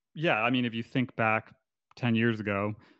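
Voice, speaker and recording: In a Canadian accent, a man with an unremarkable speaking voice talks at medium pitch and a moderate pace with ordinary pitch variation, the sound dry and close with no echo and a quiet background. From Canada. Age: 30s. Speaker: photographer. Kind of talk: casual chat.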